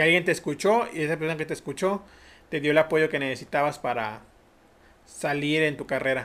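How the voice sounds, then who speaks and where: This man has a fairly high pitch with ordinary pitch variation. His pace is fairly quick. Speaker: podcast host. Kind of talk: casual interview chat.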